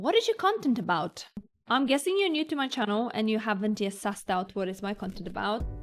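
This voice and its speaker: This woman has a Polish accent. Her pitch sits fairly high. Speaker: vlogger. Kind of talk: Q&A vlog, casual talk to camera.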